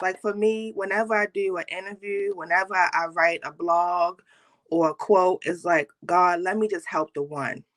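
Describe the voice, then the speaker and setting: In an American accent, a woman with an ordinary speaking voice talks at a moderate pace and medium pitch with ordinary pitch variation, the sound dry and close with no echo. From Baltimore, US. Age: 30s. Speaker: nurse and motivational speaker. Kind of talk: interview.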